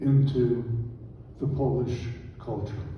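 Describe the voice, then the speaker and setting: Room echo is audible as a man talks at a fairly slow pace. His intonation is fairly even. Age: 80s+. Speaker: Holocaust survivor speaker. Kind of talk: lecture presentation with slides. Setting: church presentation with audience.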